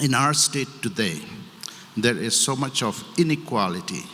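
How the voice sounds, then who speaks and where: Lively intonation from a man, noticeable background noise behind him. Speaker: politician. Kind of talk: public speech.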